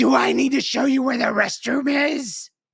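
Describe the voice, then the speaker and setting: A put-on character voice hisses and rasps at a fairly high pitch. It has an angry tone and keeps a moderate pace. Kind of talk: good English. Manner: angry, hissing.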